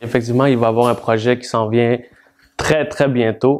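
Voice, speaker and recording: Pitched in the medium range, a man talks at a fairly slow pace. His intonation stays fairly even. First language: Spanish (speaking French). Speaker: rap artist. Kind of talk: interview.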